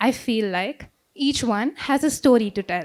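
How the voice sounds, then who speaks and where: With lively intonation, the woman's voice rises to a high pitch. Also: very clean recording, silent background. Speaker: modeling contestant. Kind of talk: self-introduction speech on stage.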